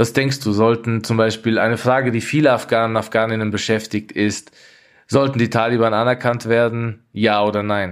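Flat, monotone delivery from a man at medium pitch, very even in loudness and moderate in pace, on a very clean recording with a silent background. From Austria, Tyrol (Innsbruck). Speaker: journalist and war reporter. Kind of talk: conversational podcast discussion.

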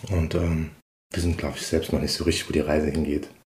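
A man speaks very fast and somewhat breathily, with audible echo in the room. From Saarland, Dudweiler. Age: 40s. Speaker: musician and childcare worker. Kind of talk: interview. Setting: living room at home.

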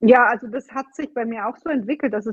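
A woman talks fairly quickly, her pitch shifting in an ordinary way. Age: 30s. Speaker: fitness and nutrition coach. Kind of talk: interview. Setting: video call. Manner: animated.

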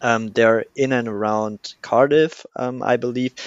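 A man with a German accent and ordinary pitch variation. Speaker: podcast host. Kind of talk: podcast interview.

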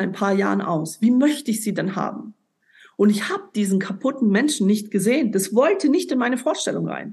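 Lively intonation marks this voice, which is a little breathy. The speed is middling. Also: woman. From Ulm, southern Germany. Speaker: life coach and former world champion boxer. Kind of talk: podcast interview, personal testimony.

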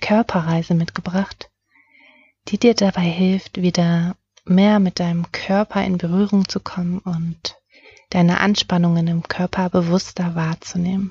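A woman's somewhat breathy, fairly low voice in a soothing, calm tone, flat and monotone, at a very slow pace. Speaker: meditation guide. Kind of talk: guided meditation. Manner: slow, soothing, calm; soft-spoken, gentle.

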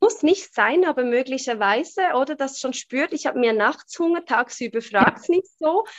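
At a moderate pace and with hardly any pauses, a woman speaks in a high pitch with very wide pitch swings. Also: dry, close sound with no echo. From Switzerland. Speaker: human design coach. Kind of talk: interview.

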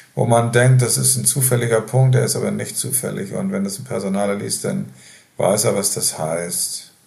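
A man talks at a fairly low pitch with very wide pitch swings. Audible room echo surrounds his voice. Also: moderate pace. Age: 70s. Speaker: nursing home resident. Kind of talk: interview.

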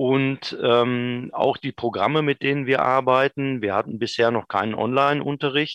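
In an unremarkable speaking voice, a man talks at a fairly slow pace with a medium pitch and fairly even intonation. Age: 50s. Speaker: vocational school department head. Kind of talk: interview.

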